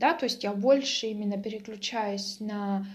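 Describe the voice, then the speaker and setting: Her pitch medium and its variation ordinary, a woman speaks at a moderate pace. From Russia, Mtsensk (Oryol region). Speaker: vlogger. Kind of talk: casual vlog monologue. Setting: at home.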